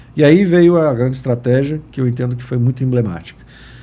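With a dark, mellow tone, a man talks at a moderate speed and shows ordinary pitch variation. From western Paraná, Brazil. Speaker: municipal communications secretary; guest. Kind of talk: casual chat. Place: studio. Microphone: studio mic.

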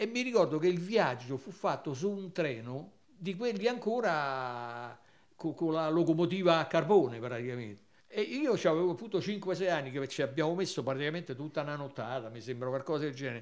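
A man talks at a fairly quick pace with a fairly high pitch. His voice moves in very wide pitch swings. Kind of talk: casual reminiscing chat. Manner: warm, conversational, nostalgic.

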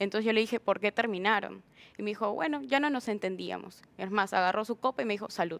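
She has an ordinary speaking voice with a medium pitch and ordinary pitch variation. The woman talks at a fairly quick pace. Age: 20s. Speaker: hospitality worker; talk show guest. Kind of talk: interview. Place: studio. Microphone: lapel.

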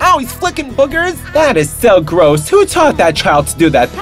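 A man keeps a moderate pace as music plays in the background. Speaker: comedic commentator. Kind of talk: comedic game trailer voice-over. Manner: sassy, campy, exclamatory.

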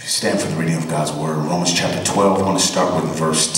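Light background noise and audible room echo fill the recording. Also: man. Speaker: preacher delivering a sermon to a congregation. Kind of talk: scripture reading. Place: church.

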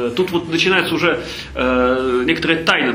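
A man speaks with ordinary pitch variation over light background noise, and audible room echo surrounds his voice. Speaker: charity foundation head. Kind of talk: lecture. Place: hall. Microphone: camera far.

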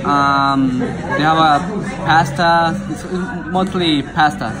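Clear music plays behind a man as he talks. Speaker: restaurant reviewer. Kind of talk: casual vlog review. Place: cafe. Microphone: phone near.

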